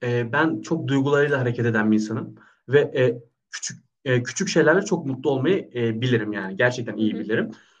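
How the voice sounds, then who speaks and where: A man's voice is somewhat breathy and medium in pitch. His intonation moves in a lively way. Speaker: personal trainer. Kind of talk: casual chat. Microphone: unstable internet connection.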